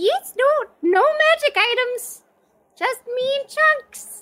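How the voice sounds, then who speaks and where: Someone puts on a squeaky character voice at an extremely high pitch, speaking very slowly. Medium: actual play. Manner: broken, simple speech.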